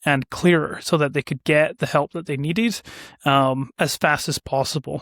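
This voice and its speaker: A man with a Scottish accent, fairly high pitch and fairly even intonation, at a moderate pace, in a dry, close sound with no echo and a very clean recording over a silent background. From Scotland, west coast. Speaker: business owner, ad agency founder. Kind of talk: casual interview chat.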